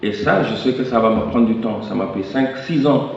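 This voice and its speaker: Speaking at a moderate pace, a man keeps his intonation fairly even. Room echo is audible and background noise is noticeable. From Senegal. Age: young. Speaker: youth activist and speaker. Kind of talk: conference speech.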